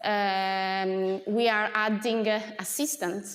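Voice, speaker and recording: A fairly high-pitched woman's voice with audible room echo. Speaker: associate professor. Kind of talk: lecture. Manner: hesitant, many filler sounds.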